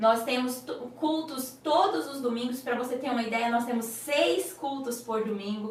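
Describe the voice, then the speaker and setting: A woman with a slight Goiás accent speaks at a fairly slow pace in a high, warm voice with ordinary pitch variation. Noticeable background noise and audible room echo are present. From Brazil, Goiás. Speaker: children's pastor. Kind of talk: online teaching class for children's ministry leaders. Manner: warm, conversational, addressing audience directly.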